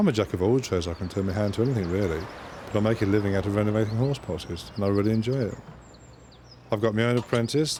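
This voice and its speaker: Very fast speech from a man with a fairly low pitch and ordinary pitch variation, amid noticeable background noise. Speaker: game show contestant. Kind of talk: casual chat.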